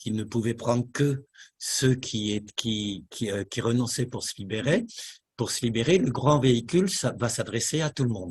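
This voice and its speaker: A somewhat breathy man at a medium pitch, fairly slow pace and ordinary pitch variation, against a quiet background. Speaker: meditation teacher. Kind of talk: lecture. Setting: meditation hall with audience. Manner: halting.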